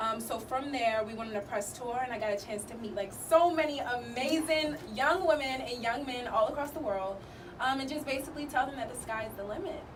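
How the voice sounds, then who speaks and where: A woman with a high pitch talks at a fairly quick pace in an animated tone with ordinary pitch variation, amid noticeable background noise and audible room echo. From US, Baltimore, Maryland. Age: 20s. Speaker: student, actress and step team founder. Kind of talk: radio interview. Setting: radio studio.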